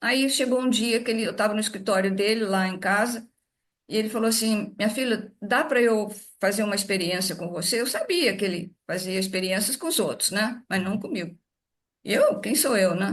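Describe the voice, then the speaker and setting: A somewhat breathy, fairly high female voice at a moderate pace, with ordinary pitch variation over a quiet background. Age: 80s+. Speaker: daughter of a spiritist author. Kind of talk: interview. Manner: halting.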